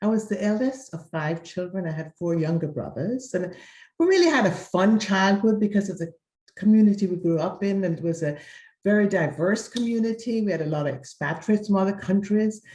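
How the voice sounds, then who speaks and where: Speaking at a fairly quick pace with a slight Jamaican accent, a woman has a medium-pitched, somewhat breathy voice of dark, mellow tone and ordinary pitch variation. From Jamaica (Mandeville, Kingston area). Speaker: interviewee sharing life story. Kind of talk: interview, personal testimony.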